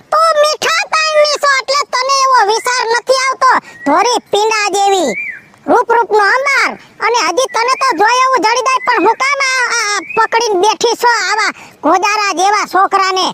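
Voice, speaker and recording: A woman's put-on character voice at an extremely high pitch, lively intonation, fairly slow pace, dry and close with no echo. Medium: comedy sketch. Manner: nagging, complaining.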